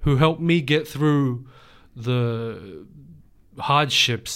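In an Australian accent, a man of medium pitch speaks at a very slow pace on a very clean recording with a silent background. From Western Sydney, Australia. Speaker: poet. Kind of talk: interview. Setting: studio.

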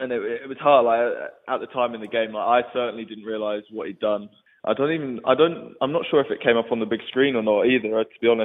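A man with an English accent talks at a very fast pace, his medium pitch held in fairly even intonation. He barely pauses, and his loudness swings widely. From England. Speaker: professional rugby player. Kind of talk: casual interview.

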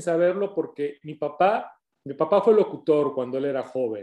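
Speaking at a fairly slow pace, a man with a Mexican accent has a dark, mellow tone. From Mexico (Colima, Jalisco). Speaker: radio host. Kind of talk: interview. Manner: reserved off-air, energetic on-air.

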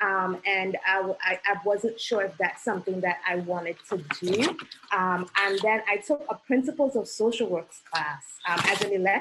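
Over noticeable background noise, a woman speaks at a medium pitch and a moderate pace with ordinary pitch variation. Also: very even loudness. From Trinidad and Tobago. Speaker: licensed clinical social worker. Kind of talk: interview.

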